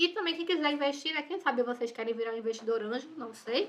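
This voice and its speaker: A woman's voice with a bright, sharp tone. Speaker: university lecturer. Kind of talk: lecture. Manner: fast.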